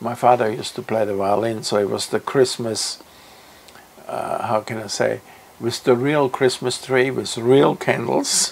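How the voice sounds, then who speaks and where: The delivery is fairly slow, with fairly even intonation. Noticeable background noise is present. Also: man, medium pitch for a man. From Austria. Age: 80s+. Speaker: music teacher. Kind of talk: interview answer.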